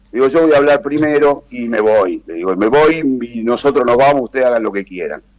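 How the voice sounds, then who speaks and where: Man at medium pitch, fairly quick pace and ordinary pitch variation. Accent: Rioplatense. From Argentina, Buenos Aires. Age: 70s. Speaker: former politician. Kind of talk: interview. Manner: hesitant, many fillers.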